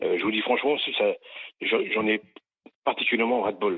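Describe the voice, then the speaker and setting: A man speaks with ordinary pitch variation. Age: 60s. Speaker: radio caller. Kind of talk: call-in opinion. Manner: halting.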